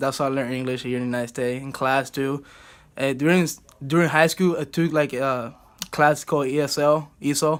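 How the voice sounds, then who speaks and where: A man's fairly high voice in a Cuban accent, with fairly even intonation. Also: fairly quick pace. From Cuba, Havana. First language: Spanish. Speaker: college baseball player. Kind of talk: student video presentation.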